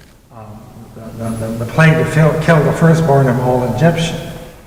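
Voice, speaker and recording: A man with a fairly high voice speaks with lively intonation over noticeable background noise. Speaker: church member and sermon speaker, grandfather and poet. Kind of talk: church sermon.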